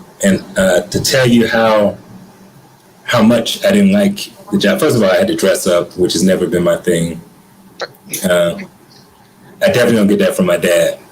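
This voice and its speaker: A man with an American accent talks at a moderate pace, pausing long and often. His loudness stays very even over noticeable background noise. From US South, Atlanta. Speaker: guest, creative artist. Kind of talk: interview conversation. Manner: casual, hesitant with fillers.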